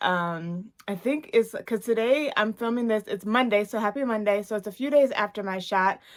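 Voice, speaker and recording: An ordinary speaking voice at a moderate pace with ordinary pitch variation comes through in a very clean recording with a silent background. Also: woman. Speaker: weight-loss vlogger. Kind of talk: casual vlog update.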